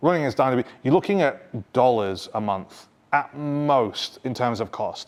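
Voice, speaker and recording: A man with a normal speaking voice talks at a moderate pace and medium pitch, his pitch varying an ordinary amount. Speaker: technologist and conference speaker. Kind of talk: technical talk at a meetup. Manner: casual, conversational.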